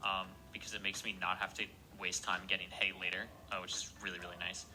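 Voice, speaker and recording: A man's very deep, low voice, very fast and flat in a monotone, with noticeable background noise. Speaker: speedrunner. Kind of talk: video commentary.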